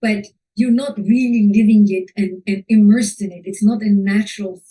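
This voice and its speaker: A woman with a non-native accent speaks at a moderate pace in a dark, mellow, somewhat breathy tone. Her intonation is fairly even, while her loudness swings a lot. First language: not English. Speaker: fashion photographer and teacher. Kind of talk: webinar talk. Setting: online webinar. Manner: halting.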